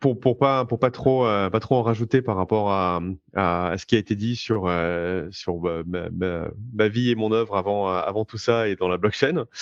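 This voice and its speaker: Fairly low in pitch, this man talks at a fairly slow pace with ordinary pitch variation. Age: 30s. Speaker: blockchain entrepreneur. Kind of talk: interview. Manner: halting, many fillers.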